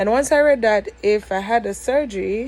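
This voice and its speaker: The speaker talks in a Jamaican accent with ordinary pitch variation. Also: woman. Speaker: vlogger. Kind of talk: casual vlog. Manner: code-switching between dialect and standard English; hesitant, many fillers.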